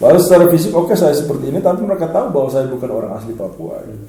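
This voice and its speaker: A man with an East Nusa Tenggara accent speaks in a room with audible echo and noticeable background noise. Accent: eastern Indonesian (NTT) dialect. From eastern Indonesia (NTT). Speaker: lecturer and organization leader, political talk show guest. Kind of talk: casual talk-show discussion.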